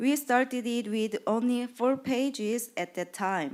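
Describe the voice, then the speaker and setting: With a Korean accent, a woman speaks in a high pitch at a very slow pace. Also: very clean recording, silent background. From South Korea. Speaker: patient advocacy program manager. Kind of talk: conference presentation. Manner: reading from a script; halting.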